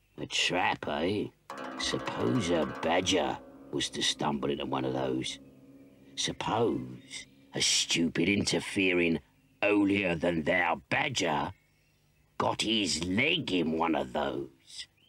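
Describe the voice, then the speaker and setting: The voice is raspy. It also sounds gruff. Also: man, very deep, low pitch for a man, fairly slow pace, lively intonation. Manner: blustering, scheming, bossy.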